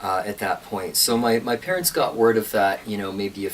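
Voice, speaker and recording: A man with an American accent speaks at a moderate pace in a fairly low pitch. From California. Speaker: pastor. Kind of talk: interview conversation.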